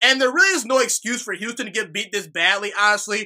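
A man speaks in a raised, projected voice at an extremely high pitch, his tone animated, bright and sharp, over a quiet background. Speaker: sports podcaster. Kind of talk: solo sports commentary monologue. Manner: casual, animated. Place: home room. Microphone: studio mic.

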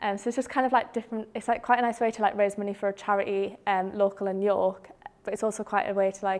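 A woman rattles along at a very fast pace in a monotone, flat intonation. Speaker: student ambassador; presenter. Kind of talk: casual chat. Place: classroom.

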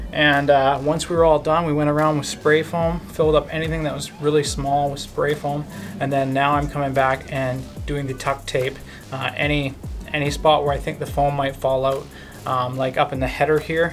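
Over clear background music, a man talks at a moderate pace in a flat, monotone delivery. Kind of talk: casual vlog chat. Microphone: phone near.

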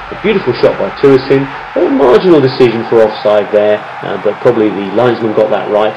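Upbeat, enthusiastic speech from a man at a medium pitch and fairly quick pace, with noticeable background noise. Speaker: football commentator. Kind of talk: football match-highlights commentary, voiced over replays in a polished broadcast style. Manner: fluent, upbeat and enthusiastic, with praise-filled phrasing and a steady, narrative flow.

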